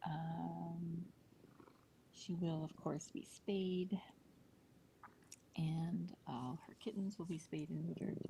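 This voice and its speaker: Quiet speech delivered at a very slow pace with long, frequent pauses. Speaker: cat rescue livestream host. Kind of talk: live voice-over commentary. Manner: quiet, subdued; hesitant, many fillers.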